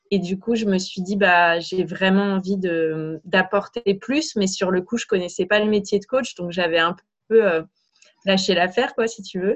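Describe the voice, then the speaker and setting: With ordinary pitch variation, an unremarkable speaking voice moves at a fairly slow pace. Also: woman, medium pitch for a woman. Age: 30s. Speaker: business coach. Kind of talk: interview.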